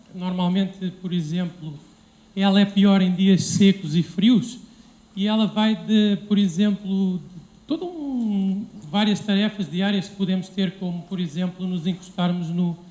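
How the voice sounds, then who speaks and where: In a European Portuguese accent, a man speaks at a high pitch. His pace is fairly slow and his intonation fairly even. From Portugal. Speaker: civil engineer. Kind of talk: lecture. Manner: halting, many fillers.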